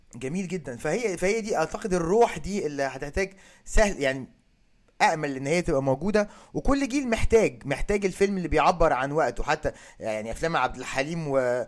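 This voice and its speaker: With lively intonation, a man with an unremarkable speaking voice talks at a moderate pace in a fairly high pitch. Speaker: podcast host. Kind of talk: casual chat.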